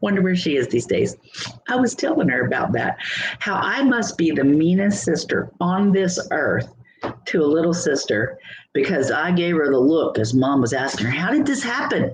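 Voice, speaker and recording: A woman speaks at a moderate pace with a fairly low pitch and very wide pitch swings. Her loudness stays very even over noticeable background noise. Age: 60s. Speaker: channel host telling a personal story. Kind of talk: casual storytelling livestream. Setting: livestream.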